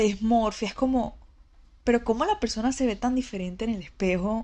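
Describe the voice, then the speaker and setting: On a very clean recording with a silent background, a woman speaks in a plain, everyday voice. Her pitch is fairly high, her pitch variation ordinary and her pace moderate. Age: 20s. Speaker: image consultant and podcaster. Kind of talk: personal monologue. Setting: lying in bed recording at home. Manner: casual, conversational.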